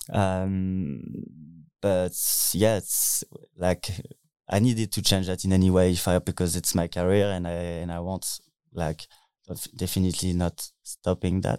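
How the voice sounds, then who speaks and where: In a French accent, the speaker uses a dark, mellow tone and fairly even intonation, moving at a fairly slow pace with long, frequent pauses, the sound dry and close with no echo. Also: man, very deep, low pitch for a man, very clean recording, silent background. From France (Paris). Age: 20s. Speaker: DJ and techno producer. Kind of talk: interview. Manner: halting.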